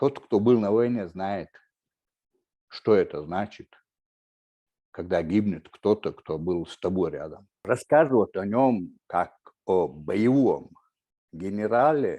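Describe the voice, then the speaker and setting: Very slowly and with long, frequent pauses, a man speaks in a dark, mellow tone at a fairly low pitch, his loudness swinging widely. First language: Chechen (speaking Russian). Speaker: writer and war veteran. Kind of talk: panel talk. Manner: halting, many fillers.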